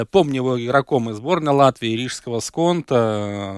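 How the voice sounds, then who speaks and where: An ordinary speaking voice from a man at medium pitch, with lively intonation and a moderate pace. The recording is very clean with a silent background and a dry, close sound with no echo. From Latvia, Riga. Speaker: sports radio host. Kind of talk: radio sports talk show. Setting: radio studio.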